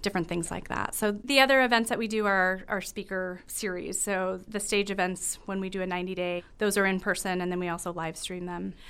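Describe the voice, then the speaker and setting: A woman with a medium pitch speaks at a fairly quick pace with hardly any pauses and fairly even intonation. The recording is very clean, with a silent background. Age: 40s. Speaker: nonprofit executive director. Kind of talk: interview. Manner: halting.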